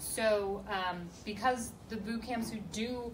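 There is noticeable background noise behind this woman. Her intonation is monotone and flat. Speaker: panelist. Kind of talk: Q&A panel answer. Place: meeting room. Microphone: camera far.

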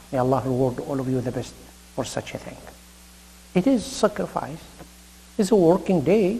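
A man with an Arabic accent speaks at a high pitch and a moderate pace. His pitch swings very widely, and he takes long, frequent pauses. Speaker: imam / Islamic preacher; religious lecturer. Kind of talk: sermon. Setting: mosque.

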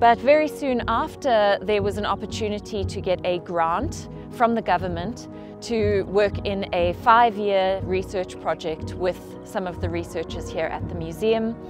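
With music in the background, a woman talks at a moderate pace. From South Africa. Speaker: researcher. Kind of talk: interview.

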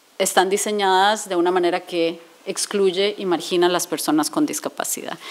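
Spoken at a moderate pace, the voice shows ordinary pitch variation. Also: woman. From Costa Rica. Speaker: speaker. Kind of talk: lecture. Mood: earnest, explanatory. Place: hall. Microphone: podium.

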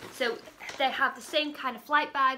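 A woman speaks over noticeable background noise. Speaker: parent vlogger. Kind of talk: casual vlog chat. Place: home room. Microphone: phone near.

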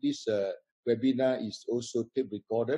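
Against a quiet background, a man talks at a moderate pace in a dark, mellow tone. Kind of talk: host welcome remarks. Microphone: video call.

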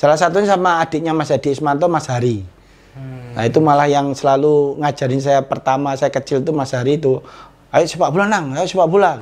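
A man with a fairly high pitch talks at a very fast pace, his pitch varying in an ordinary way. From East Java, Indonesia (Tulungagung); East Java. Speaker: former football striker; interviewee. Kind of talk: casual interview. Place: home room. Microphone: lapel.

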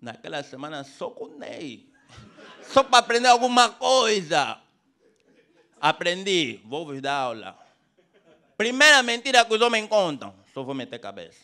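Against a quiet background, a man with a high pitch uses a raised, projected voice, very wide pitch swings and a fairly slow pace broken by long, frequent pauses. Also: big swings in loudness. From Angola. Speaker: stand-up comedian. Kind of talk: raunchy stand-up comedy set in Luanda street slang. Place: stage.

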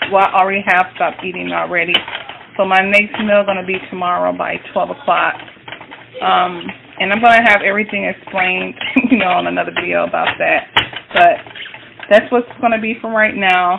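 Noticeable background noise accompanies a woman speaking at a moderate speed. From US North. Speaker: cooking vlogger. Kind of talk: cooking tutorial. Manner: casual, hesitant with many fillers. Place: kitchen. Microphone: phone near.

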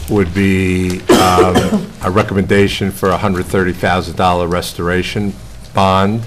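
Against noticeable background noise, a man with a very deep, low pitch speaks very slowly in a monotone, flat intonation. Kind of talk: formal presentation to a board. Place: hall. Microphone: podium.

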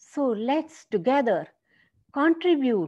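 Against a quiet background, a woman with a dark, mellow tone speaks at a very slow pace with very wide pitch swings. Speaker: poet and motivational speaker. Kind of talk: spoken-word poetry, rhymed and reflective, delivered as a New Year poem. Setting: solo video, addressed to viewers. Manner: rhythmic, measured, earnest and uplifting, with emphatic rhyme. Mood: earnest, uplifting. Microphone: webcam.

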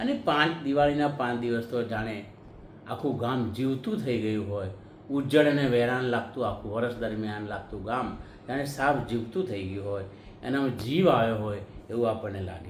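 A man with a medium-pitched voice and ordinary pitch variation speaks amid noticeable background noise, with audible echo from the room. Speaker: YouTube commentator. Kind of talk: monologue to camera.

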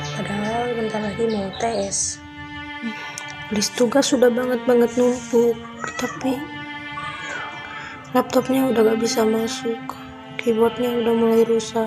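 Over clear background music, a woman speaks at a fairly slow pace with ordinary pitch variation. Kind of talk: personal complaint narration. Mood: sad, troubled. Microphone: phone near.

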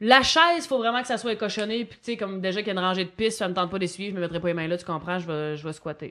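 A woman with a strong Gaspésie accent at a very fast pace, medium in pitch with ordinary variation, bright and sharp in tone, in a very clean recording against a silent background. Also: hardly any pauses. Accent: strong regional Gaspésie Quebec French. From Quebec, Gaspésie. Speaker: comedian. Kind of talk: casual chat.

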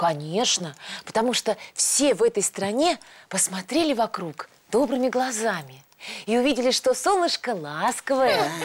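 A woman speaks at a fairly high pitch with big pitch swings and a slightly husky edge. She makes few pauses. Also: moderate pace.

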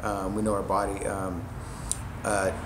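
Monotone, flat intonation with noticeable background noise. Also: man. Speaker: gym coach hosting an interview. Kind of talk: casual interview chat. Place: gym. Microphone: phone near.

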